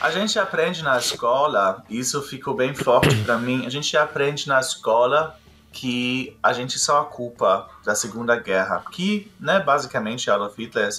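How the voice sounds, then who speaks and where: Against noticeable background noise, a man talks at a fairly slow pace with lively intonation. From Germany. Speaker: musical theatre artist. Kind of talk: interview answer.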